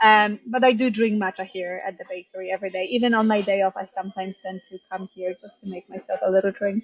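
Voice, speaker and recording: A woman speaks very fast at medium pitch in a somewhat breathy, monotone, flat voice. Her loudness swings widely. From Poland. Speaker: bakery owner and head baker. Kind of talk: interview. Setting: bakery kitchen.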